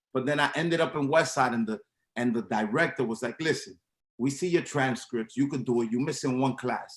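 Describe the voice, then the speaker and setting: Speaking with an American accent, a man uses a medium pitch and ordinary pitch variation. His pace is fairly quick. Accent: Dominican New York English. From New York City, Washington Heights. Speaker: club promoter and sneaker reseller. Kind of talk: interview.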